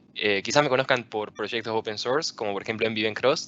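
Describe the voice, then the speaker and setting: A man speaks at a very fast pace with a fairly low pitch. His intonation stays fairly even. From Argentina, Rosario. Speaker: software engineer and tech speaker. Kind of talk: conference talk.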